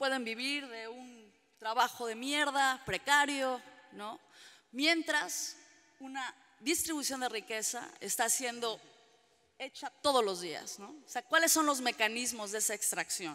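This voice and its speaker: A woman's high pitch at a fairly slow pace, with ordinary pitch variation and big swings in loudness. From Mexican-American (US-raised Mexican). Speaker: trade union organizer; panelist. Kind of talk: panel debate talk. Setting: public panel with audience. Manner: passionate, animated. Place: hall. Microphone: podium.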